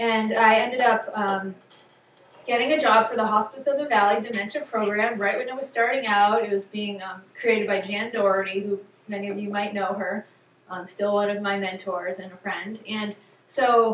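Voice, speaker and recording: A woman at a moderate pace, fairly even intonation, big swings in loudness, and noticeable background noise. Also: medium pitch for a woman. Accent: American. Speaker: neurologist and psychiatrist giving a talk. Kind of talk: public talk. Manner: many fillers, halting.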